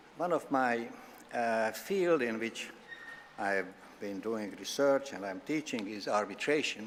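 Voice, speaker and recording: The speaker has a Hungarian accent and a moderate pace. Intonation is lively. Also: man. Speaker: law professor. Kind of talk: formal opening address.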